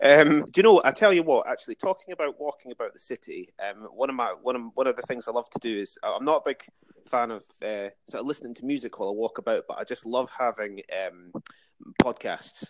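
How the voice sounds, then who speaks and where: Someone speaks very fast in an Edinburgh accent, with a dry, close sound and no echo. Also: man. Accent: Edinburgh Scottish. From Scotland, Dalkeith near Edinburgh. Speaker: museum and heritage worker. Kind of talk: casual interview. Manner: hesitant, many fillers.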